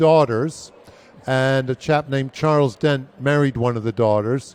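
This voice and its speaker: In an unremarkable speaking voice, a man with an American accent speaks at a fairly slow pace, with medium pitch and fairly even intonation. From United States. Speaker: brewery chief executive. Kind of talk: interview.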